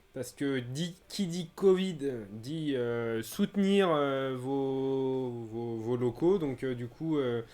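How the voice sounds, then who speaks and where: A man's dark, mellow voice at a very slow pace on a very clean recording with a silent background. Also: medium pitch for a man, ordinary pitch variation. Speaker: beer channel host. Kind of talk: live stream chat. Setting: live stream. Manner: stammering at times.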